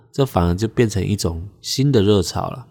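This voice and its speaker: At a moderate pace, a man speaks in a normal speaking voice, fairly low in pitch with ordinary pitch variation. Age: 30s. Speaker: podcast host. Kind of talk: casual solo podcast talk.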